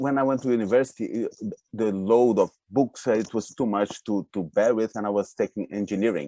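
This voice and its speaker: With a Brazilian accent, a man speaks at a fairly quick pace in a dark, mellow tone, the sound dry and close with no echo. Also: medium pitch for a man, ordinary pitch variation. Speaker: speed reading and flow coach. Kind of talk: interview on a live webinar. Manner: halting, with repeated words.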